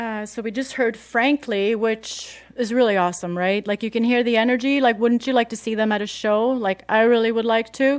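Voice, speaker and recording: In a very clean recording with a silent background, a woman speaks with a Swedish accent at a fairly quick pace, with hardly any pauses. Her pitch is fairly high and her intonation fairly even. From Sweden. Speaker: radio host. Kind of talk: casual radio talk. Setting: radio studio. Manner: casual, many fillers.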